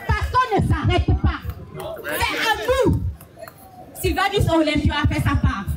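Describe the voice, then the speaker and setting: Fairly slow speech from a woman with very wide pitch swings, audible room echo, and crowd noise in the background. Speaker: activist speaker. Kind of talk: rally speech. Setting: outdoor demonstration. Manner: impassioned.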